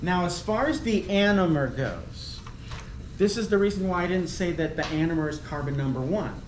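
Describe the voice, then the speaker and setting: Background noise can be clearly heard. The delivery is moderately paced. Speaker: chemistry professor. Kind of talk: lecture. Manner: hesitant, many fillers.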